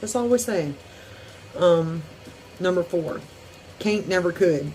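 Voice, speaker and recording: Music plays in the background as a woman speaks with a Southern US accent. Her pitch is fairly low and her pace moderate. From US South (Deep South). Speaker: YouTuber. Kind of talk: casual vlog. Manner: hesitant, many fillers.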